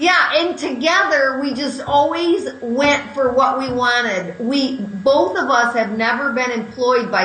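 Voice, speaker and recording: Loud and lively in intonation, a woman talks at a fairly slow pace with hardly any pauses over noticeable background noise. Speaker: courage coach and author. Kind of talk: interview.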